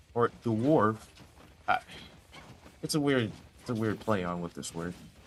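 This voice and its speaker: Over noticeable background noise, a man talks at a fairly slow pace with medium pitch and lively intonation. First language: not English. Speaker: esports commentator. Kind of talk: live commentary. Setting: streaming from a noisy shared room. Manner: animated.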